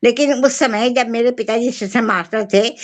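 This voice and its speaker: A woman speaks in a high pitch. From Bengali family, grew up in Hindi-speaking villages. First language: Bengali (speaking Hindi). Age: 70s. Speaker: writer. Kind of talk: interview. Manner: halting, with fillers.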